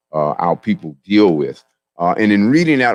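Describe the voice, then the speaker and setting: A man with an American accent at a moderate pace, in a dry, close sound with no echo. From US, Southeast Washington, D.C. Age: 60s. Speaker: naturopathic doctor and speaker. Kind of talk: speech at community event. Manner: many fillers, halting.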